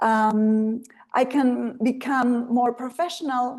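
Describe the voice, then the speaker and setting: With a Spanish accent, a woman speaks in a high pitch and fairly even intonation. The background is quiet. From Argentina. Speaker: translator and writer. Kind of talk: online presentation. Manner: hesitant, many filler ums.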